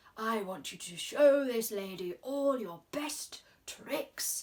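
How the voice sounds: Doing a put-on character voice, a woman speaks in a croaky, fairly high pitch at a very slow pace.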